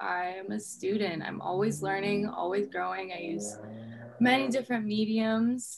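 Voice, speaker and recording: Music can be heard in the background. A woman talks over it. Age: 20s. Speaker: mental health advocate. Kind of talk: casual chat. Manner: halting.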